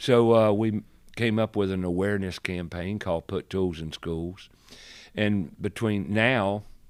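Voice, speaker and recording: Speaking with a North Carolina accent, a man talks at a fairly slow pace in a fairly low pitch with ordinary pitch variation and long, frequent pauses, on a very clean recording with a silent background. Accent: Southern US (North Carolina). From US South. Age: 70s. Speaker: radio host and remodeler. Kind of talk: podcast interview.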